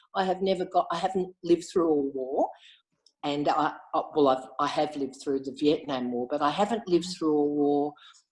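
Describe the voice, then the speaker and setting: Speaking at a moderate pace, a woman with an Australian accent uses a very deep, low pitch. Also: ordinary pitch variation. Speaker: Inner Wheel club member. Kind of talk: casual interview chat.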